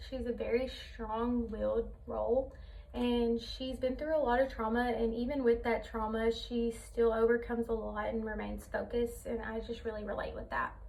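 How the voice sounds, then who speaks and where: A woman talks at a moderate pace. The recording has audible room echo and noticeable background noise. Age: 20s. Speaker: college student. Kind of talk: class presentation speech. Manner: hesitant, many fillers.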